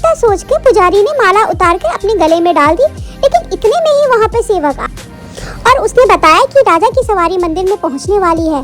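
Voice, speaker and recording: Clear music plays behind a woman speaking at a moderate pace. Her pitch is extremely high. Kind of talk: devotional storytelling. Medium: read story.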